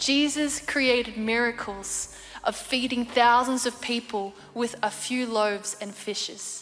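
Speaking in an Australian accent, a woman uses a high pitch with fairly even intonation. Her pace is fairly slow. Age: 20s. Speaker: Olympic athlete. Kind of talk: testimony. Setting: studio.

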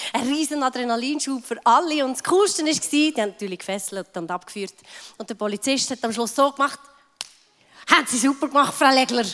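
A woman with a high voice, lively intonation and a fairly quick pace. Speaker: pastor's wife. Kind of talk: testimony.

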